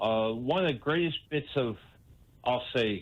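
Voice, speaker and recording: A man with an unremarkable speaking voice, medium pitch, lively intonation and a fairly slow pace. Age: 60s. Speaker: caller. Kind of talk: radio call-in.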